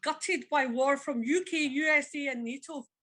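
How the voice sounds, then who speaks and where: With a Glaswegian accent, a woman speaks in a high, bright, sharp voice that is raised and projected, her intonation fairly even. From Scotland, Glasgow. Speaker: former immigration officer. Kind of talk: audience discussion. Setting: public event with audience. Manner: halting.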